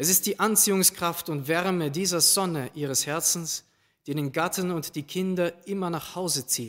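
This is a man with a high-pitched voice. The recording is very clean, with a silent background. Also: ordinary pitch variation, moderate pace. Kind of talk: sermon. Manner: formal, solemn, measured; warm, earnest, uplifting.

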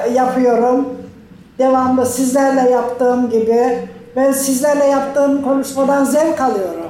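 With audible room echo and noticeable background noise, a woman speaks fairly slowly at a high pitch. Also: very even loudness. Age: 70s. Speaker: project participant, retiree. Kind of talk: live interview. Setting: live video link. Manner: halting.

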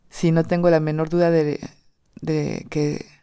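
A woman's very deep, low-pitched voice with a dark, mellow tone, monotone and flat in intonation, in a French accent, on a very clean recording with a silent background. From southern France, Perpignan. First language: French (speaking Spanish). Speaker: storyteller. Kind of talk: personal testimony. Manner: hesitant, many repetitions.

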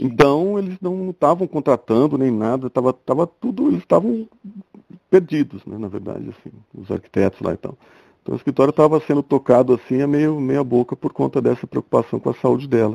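Speaking at a fairly quick pace, a man uses lively intonation and a fairly high pitch, with big swings in loudness and a dry, close sound with no echo. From Brazil, interior of São Paulo state (Ribeirão Preto area). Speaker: architect and furniture designer. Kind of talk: casual interview. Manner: halting, with frequent repetitions.

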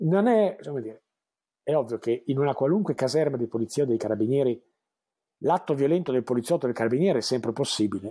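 A man with a medium pitch and a dark, mellow tone talks at a very fast pace. His intonation is lively, broken by long, frequent pauses. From Emilia-Romagna, Italy (Bologna province). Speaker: crime novelist and screenwriter. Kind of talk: interview.

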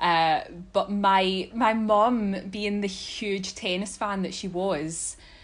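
Speaking at a very slow pace, a woman with a Scottish accent keeps a medium pitch and fairly even intonation. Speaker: tennis fan podcast guest. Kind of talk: casual chat.

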